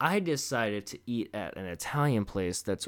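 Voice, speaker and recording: A man with an American accent speaks on a very clean recording over a silent background. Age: 20s. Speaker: podcast host, chef. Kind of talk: casual monologue. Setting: home recording with microphone. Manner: casual, rambling with fillers.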